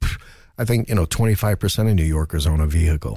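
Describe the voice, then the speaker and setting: A man's dark, mellow, somewhat breathy voice with an American accent, very fast pace and ordinary pitch variation, in a very clean recording with a silent background. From New Jersey, US. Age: 50s. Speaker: comedian. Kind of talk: casual chat. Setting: studio. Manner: animated.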